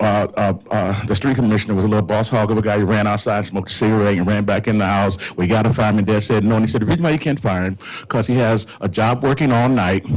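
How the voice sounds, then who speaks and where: A man with an American accent talks at a very fast pace and fairly low pitch, with ordinary pitch variation and very even loudness. Background noise is noticeable. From Indiana, US Midwest. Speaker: community organizer, pastor. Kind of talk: panel talk. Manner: halting.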